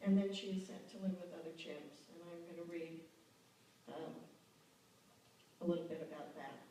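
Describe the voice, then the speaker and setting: A woman's fairly low voice with fairly even intonation, long, frequent pauses and big swings in loudness, plus noticeable background noise and audible room echo. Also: moderate pace. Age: 60s. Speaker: novelist, award winner. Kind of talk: award acceptance speech. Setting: stage with audience.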